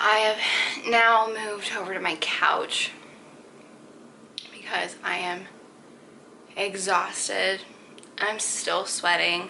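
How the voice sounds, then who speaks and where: A woman whispers in an American accent at a very slow pace. Long, frequent pauses break her speech, with audible room echo and noticeable background noise. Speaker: vlogger. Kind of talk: personal vlog. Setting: at home on couch. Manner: casual, filler-heavy; occasional stutter.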